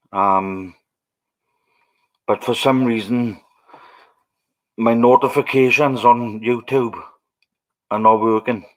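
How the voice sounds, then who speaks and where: With a Welsh accent, a man talks at a very slow pace and a medium pitch. His intonation is fairly even, broken by long, frequent pauses. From Wales. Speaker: livestreamer. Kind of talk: casual chat.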